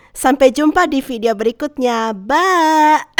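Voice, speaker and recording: The voice makes very wide pitch swings. The sound is dry and close, with no echo. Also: woman. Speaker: animation storyteller YouTuber. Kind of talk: storytime narration.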